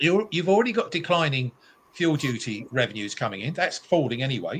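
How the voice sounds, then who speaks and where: Somewhat breathy and fairly high-pitched, a man moves at a fairly quick pace with very wide pitch swings. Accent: British. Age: 70s. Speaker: motorists' campaigner. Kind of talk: talk show discussion. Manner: animated.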